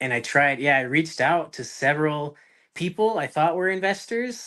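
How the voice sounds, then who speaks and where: Bright and sharp in tone, this voice has an American accent, ordinary pitch variation and a fairly quick pace over a quiet background. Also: man. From US, northern Utah. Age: 20s. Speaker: real estate investor. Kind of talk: podcast interview. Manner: halting with many fillers.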